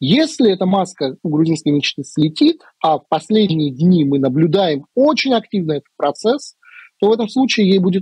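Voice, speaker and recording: A man's high-pitched voice at a moderate pace, ordinary pitch variation, dry with no echo, over a quiet background. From Georgia. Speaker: political analyst. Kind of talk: interview. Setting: video call. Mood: calm, analytical. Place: home room. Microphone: earbuds.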